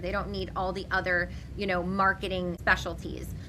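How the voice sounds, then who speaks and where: An animated tone at a fairly quick pace, with noticeable background noise. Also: woman. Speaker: business owner and real estate leader. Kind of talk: interview. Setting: podcast interview. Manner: fast.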